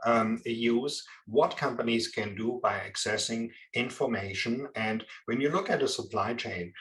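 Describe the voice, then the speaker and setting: A man with a strong German accent at a moderate pace. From Germany. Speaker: procurement and supply chain expert. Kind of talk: interview. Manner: halting, many fillers.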